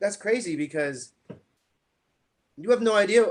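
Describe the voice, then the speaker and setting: Lively intonation in a strong New York accent. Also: man. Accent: thick New York. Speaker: interviewer. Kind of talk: interview. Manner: halting, repetitive.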